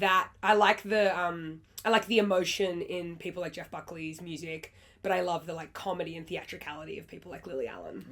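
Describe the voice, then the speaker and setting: Speaking at a fairly quick pace, a woman with a fairly low pitch keeps her intonation fairly even while her loudness swings widely. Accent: Australian. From Australia. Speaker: singer-songwriter. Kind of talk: interview answer.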